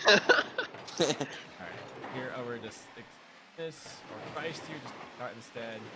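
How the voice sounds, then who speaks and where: A man's medium-pitched voice at a very slow pace, with long, frequent pauses, ordinary pitch variation, big swings in loudness and noticeable background noise. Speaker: esports coach reviewing replays. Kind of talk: replay review commentary. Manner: words blur together when talking long.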